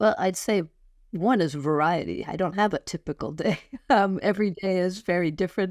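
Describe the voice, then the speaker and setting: A woman with a normal speaking voice talks at a fairly quick pace, medium in pitch with ordinary pitch variation. The recording is very clean and dry, close with no echo, over a silent background. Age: 60s. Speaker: professor, business coach and author. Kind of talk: interview. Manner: fluent, articulate.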